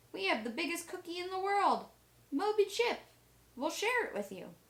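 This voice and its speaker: This is a put-on character voice from a woman, squeaky and extremely high in pitch. She keeps a moderate pace. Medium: read story.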